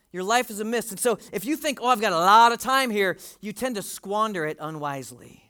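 A man projects a raised voice, high for a man, with a bright, sharp tone and lively intonation in a very clean recording with a silent background. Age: 40s. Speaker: pastor. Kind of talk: sermon.

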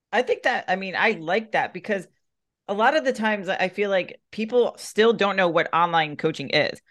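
A woman with a normal speaking voice, medium pitch, lively intonation and a moderate pace, over a quiet background. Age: 40s. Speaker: podcast host and fitness coach. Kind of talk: casual chat.

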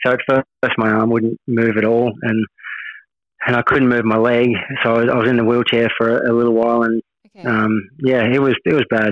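A man with an Australian accent talks at a fairly quick pace, his pitch medium and his loudness very even. His intonation stays monotone and flat throughout. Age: 30s. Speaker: motorcycle racer. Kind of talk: interview. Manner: halting, repeats words.

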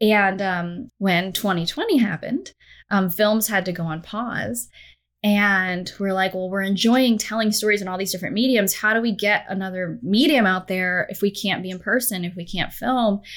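A woman with an unremarkable speaking voice talks at a moderate pace and medium pitch with ordinary pitch variation, on a very clean recording with a silent background. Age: 30s. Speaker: storyteller at a software company. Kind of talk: interview conversation.

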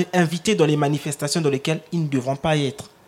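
A man speaks in a plain, everyday voice. His pitch sits fairly high, with ordinary variation, at a fairly quick pace. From Republic of the Congo. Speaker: rapper. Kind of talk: panel discussion. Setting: live public broadcast in a restaurant.

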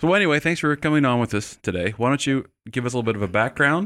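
A man at a very fast pace, animated in tone and lively in intonation, on a very clean recording with a silent background. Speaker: podcast host, teaching center staff. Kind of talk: casual interview chat. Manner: animated, joking.

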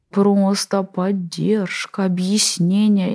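A woman speaks with a somewhat breathy voice and a dark, mellow tone. The sound is dry and close, with no echo. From Russia, Tatarstan (Kazan area). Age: 40s. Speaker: infectious disease doctor. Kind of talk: interview monologue.

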